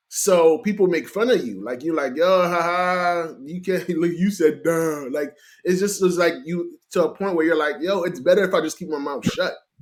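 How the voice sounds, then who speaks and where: A man talks at a moderate pace. His pitch is high, with ordinary variation. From US, Haitian family. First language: Haitian Creole. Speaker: motivational speaker. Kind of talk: casual chat. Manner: animated.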